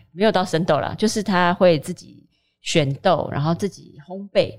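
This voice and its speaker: In an ordinary speaking voice, a woman talks at a fairly slow pace with fairly low pitch and ordinary pitch variation. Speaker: food writer. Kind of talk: casual chat.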